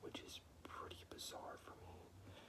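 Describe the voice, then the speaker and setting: Whispering over noticeable background noise. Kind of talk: casual talk to camera reading quiz questions. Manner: casual, conversational, chatty.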